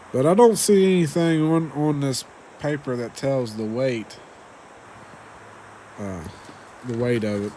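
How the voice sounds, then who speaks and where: A man with an American accent at medium pitch, lively intonation, a fairly slow pace and long, frequent pauses, over noticeable background noise. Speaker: ration reviewer. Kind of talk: casual video review. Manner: hesitant, many fillers.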